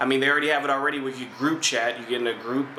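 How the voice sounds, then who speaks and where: Against noticeable background noise and audible room echo, a man speaks at a medium pitch with monotone, flat intonation. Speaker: gaming video host. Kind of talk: casual commentary responding to viewer comments. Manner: fast.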